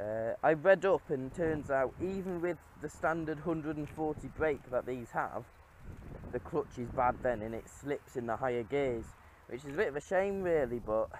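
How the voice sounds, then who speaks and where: Light background noise sits under a dry sound with no echo. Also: man, ordinary pitch variation, moderate pace. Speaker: car owner vlogger. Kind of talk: casual vlog chat. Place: open country. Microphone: phone near.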